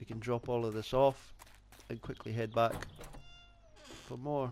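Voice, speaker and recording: With a strong Scottish accent, a man talks at a moderate pace in a medium pitch, his pitch varying in an ordinary way. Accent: thick Scottish. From Scotland. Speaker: gaming YouTuber. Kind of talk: let's play gaming commentary. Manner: casual.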